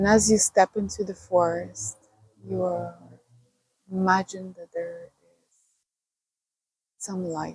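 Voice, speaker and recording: A woman's very slow speech, with long, frequent pauses and big swings in loudness. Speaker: meditation guide. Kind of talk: guided meditation. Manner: slow, soft-spoken.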